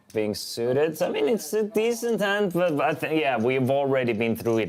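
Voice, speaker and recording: At a moderate pace, a man with an Estonian accent speaks with lively intonation. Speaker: poker commentator. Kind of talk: live commentary. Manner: casual, conversational.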